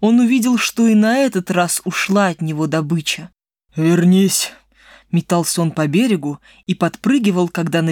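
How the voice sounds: The voice is a natural reading voice, set against a quiet background.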